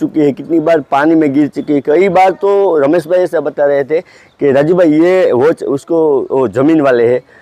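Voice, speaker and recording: A man with a Gujarati accent talks at a moderate pace, his fairly high-pitched voice dark and mellow in tone, with a dry, close sound and no echo. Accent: Gujarati-tinged Hindi. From Gujarat, India (Junagadh). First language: Gujarati (speaking Hindi). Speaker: photographer and gadget reviewer. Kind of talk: casual product review. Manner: halting, many fillers.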